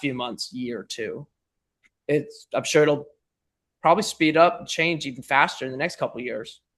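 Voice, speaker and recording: This man's fairly high pitch holds across a moderate pace. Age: 20s. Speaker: business podcast guest, AI practitioner. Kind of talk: casual interview conversation. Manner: halting, many fillers.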